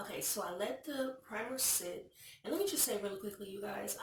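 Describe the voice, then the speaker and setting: A woman's put-on character voice, raspy and medium in pitch, with lively intonation and a fairly quick pace. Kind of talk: casual, chatty, addressing viewers. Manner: low energy, subdued.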